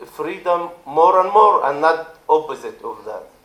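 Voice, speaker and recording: With an Arabic accent, a man speaks at a high pitch with ordinary pitch variation. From Israel, Druze community. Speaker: politician. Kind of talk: speech. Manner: halting.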